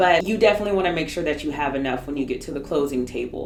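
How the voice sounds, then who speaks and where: A woman with lively intonation is heard with audible room echo and noticeable background noise. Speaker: realtor. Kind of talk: tutorial. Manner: fast.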